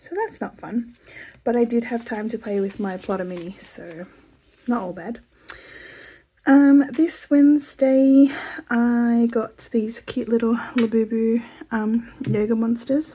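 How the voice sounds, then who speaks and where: Speaking with an Australian accent, a woman talks at a fairly slow pace with long, frequent pauses, her fairly high pitch varying in an ordinary way. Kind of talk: casual talk to camera.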